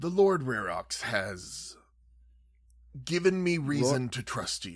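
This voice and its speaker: A man puts on a character voice with a fairly high pitch, speaking at a fairly slow pace. The recording is very clean, with a silent background. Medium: actual play. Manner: formal, courteous, ceremonious.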